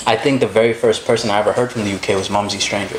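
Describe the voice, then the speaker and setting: Over noticeable background noise, a man talks in a New York accent. His intonation stays fairly even. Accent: American (New York). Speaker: actor and social media creator. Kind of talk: casual chat.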